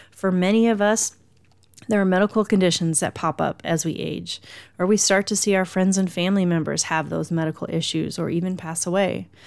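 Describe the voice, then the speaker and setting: On a very clean recording with a silent background, a woman with a medium pitch talks at a fairly quick pace with fairly even intonation in an ordinary speaking voice. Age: 50s. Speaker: happiness coach and podcast host. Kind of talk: motivational solo podcast talk.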